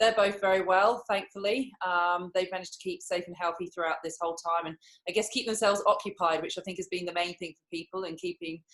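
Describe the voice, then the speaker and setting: A woman with an English accent at a medium pitch, very fast and with hardly any pauses, fairly even intonation and big swings in loudness. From England. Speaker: professional netball player. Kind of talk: interview.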